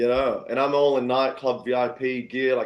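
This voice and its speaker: A man with an Australian accent, medium in pitch. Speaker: singer-songwriter. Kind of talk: casual storytelling interview. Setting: live-streamed podcast. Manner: animated.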